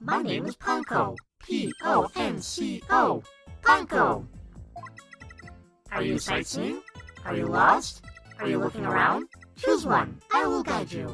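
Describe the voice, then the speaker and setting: A put-on robotic character voice at a fairly slow pace with long, frequent pauses, faint music in the background. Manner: mechanical, instructing.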